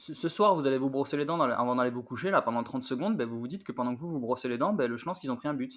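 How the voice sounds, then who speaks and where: Talking at a very fast pace, a man with a medium pitch uses lively intonation in a very clean recording with a silent background. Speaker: football podcaster. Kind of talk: casual podcast discussion. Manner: animated.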